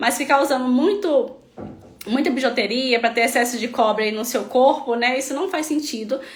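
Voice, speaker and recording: A woman talks at a high pitch, and her voice carries audible room echo. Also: ordinary pitch variation, moderate pace. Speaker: health practitioner treating melasma patients. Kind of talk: live stream talk. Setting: online live stream.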